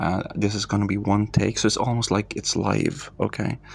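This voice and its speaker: A man with a non-native accent speaks at a moderate pace and fairly low pitch in monotone, flat intonation over noticeable background noise. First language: not English. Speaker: meditation practitioner / content creator. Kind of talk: casual walkthrough narration. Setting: home, evening. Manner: calm; halting.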